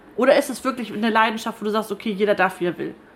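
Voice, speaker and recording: A woman with a fairly high pitch, noticeable background noise behind her. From northern Germany, Schleswig-Holstein (Stormarn). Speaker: radio podcast host. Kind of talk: casual interview over lunch. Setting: broadcaster's canteen.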